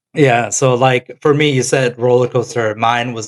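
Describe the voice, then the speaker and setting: A man with an American accent and an unremarkable speaking voice, medium in pitch, at a moderate pace with fairly even intonation. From Korea until age 10, then the US. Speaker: podcast co-host. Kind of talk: casual chat.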